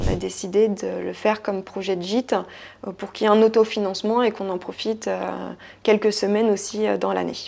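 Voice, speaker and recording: In a very clean recording with a silent background, a woman talks at a fairly quick pace in a medium pitch, her dark, mellow tone delivered in a flat monotone. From France, Saumur (Loire valley). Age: 30s. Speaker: property investor. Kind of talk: interview. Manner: hesitant, many fillers.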